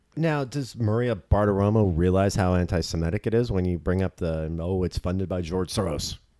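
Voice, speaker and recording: A man with an American accent talks at a fairly quick pace with hardly any pauses. His very deep, low pitch has a dark, mellow tone and ordinary pitch variation. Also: very clean recording, silent background. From Southern California, Orange County. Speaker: political podcast co-host. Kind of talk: casual chat.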